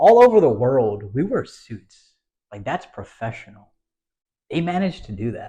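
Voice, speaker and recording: Very wide pitch swings, big swings in loudness and a dark, mellow, somewhat breathy tone at a moderate pace, with an American accent. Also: man, fairly high pitch for a man. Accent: American-sounding voice. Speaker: podcast host. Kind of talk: casual chat.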